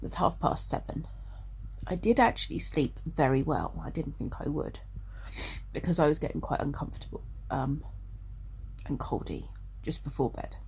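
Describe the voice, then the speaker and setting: With a British accent, a woman speaks with long, frequent pauses. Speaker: childminder and vlogger. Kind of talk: casual talk to camera.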